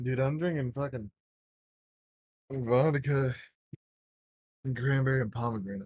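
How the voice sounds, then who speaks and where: A man speaks at medium pitch and a moderate pace, somewhat breathy, with fairly even intonation. He leaves long, frequent pauses. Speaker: gaming podcast host. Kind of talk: casual chat.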